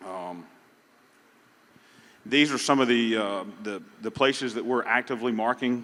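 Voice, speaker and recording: A man with a Southern US accent at a medium pitch, fairly quick in pace, with fairly even intonation. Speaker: pecan industry representative. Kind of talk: conference panel talk. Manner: halting.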